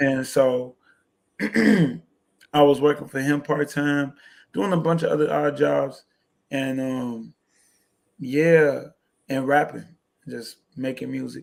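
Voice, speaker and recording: Speaking at a medium pitch with ordinary pitch variation, a man goes very slowly, leaving long, frequent pauses. The recording is very clean, with a silent background. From Chicago South Side. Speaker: hip-hop artist. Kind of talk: interview answer.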